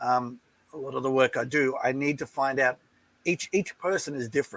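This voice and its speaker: A man with an Australian accent, fairly high-pitched and fairly quick, his intonation fairly even, the sound dry and close with no echo. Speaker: relationship coach. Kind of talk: interview.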